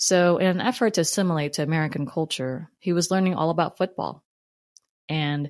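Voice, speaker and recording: The woman has a fairly low pitch, ordinary pitch variation and a moderate pace. The sound is dry and close with no echo, and the background is quiet. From Philippines, then New Jersey. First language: Tagalog and English. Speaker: podcast host. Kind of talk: personal storytelling monologue.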